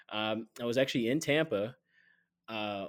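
A man with an American accent, fairly low-pitched with ordinary pitch variation, at a moderate pace, a normal speaking voice on a very clean recording with a silent background. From Atlanta, US South. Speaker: sports reporter. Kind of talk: casual interview chat.

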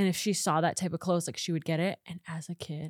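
A woman with an American accent speaks at a fairly quick pace in an animated, somewhat breathy tone, on a very clean recording with a silent background and a dry, close sound with no echo. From Nebraska, US Midwest. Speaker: content creator. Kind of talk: casual chat.

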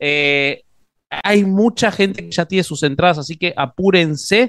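Using a plain, everyday voice, a man talks at fairly high pitch with ordinary pitch variation. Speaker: interviewer. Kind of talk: casual chat.

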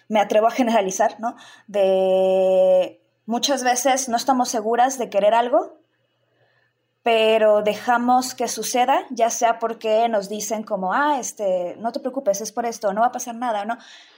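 A normal speaking voice comes from a woman at a fairly high pitch and a fairly slow pace, in a very clean recording with a silent background. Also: ordinary pitch variation. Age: 30s. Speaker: sexologist and sex educator. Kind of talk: casual chat.

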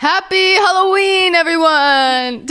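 Using a put-on character voice, a woman speaks at a fairly slow pace with an extremely high pitch. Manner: jolly, booming.

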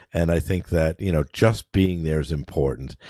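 With an American accent, a man speaks at a moderate pace with ordinary pitch variation, captured in a dry, close sound with no echo on a very clean recording with a silent background. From New Hampshire, US. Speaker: podcast co-host. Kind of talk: casual chat.

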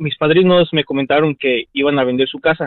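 A man's voice with ordinary pitch variation, moving at a moderate pace. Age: 20s. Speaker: caller. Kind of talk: phone-in call. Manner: halting.

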